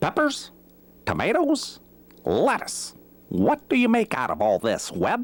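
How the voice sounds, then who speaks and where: The speaker uses a put-on character voice. The pace is fairly slow, with long, frequent pauses. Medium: read story. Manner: puzzled.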